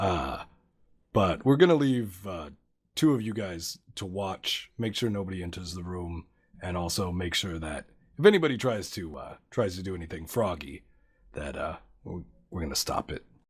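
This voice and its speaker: A man puts on a raspy character voice with a very deep, low pitch. His intonation is lively, his loudness swings widely, and his pace is fairly slow. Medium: actual play. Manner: casual, blunt.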